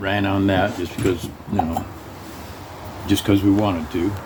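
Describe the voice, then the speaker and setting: A man speaks fairly low in pitch. Noticeable background noise is present. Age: 80s+. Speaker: Navy veteran. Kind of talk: casual storytelling conversation.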